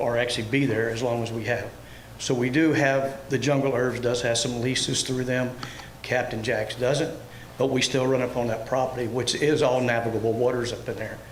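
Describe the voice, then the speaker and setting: Amid noticeable background noise and audible room echo, a man with an American accent speaks fairly quickly in a monotone, flat way. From Florida, Everglades City. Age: 60s. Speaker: airboat tour operator, public commenter. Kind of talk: public comment at meeting. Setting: public board meeting. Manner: halting.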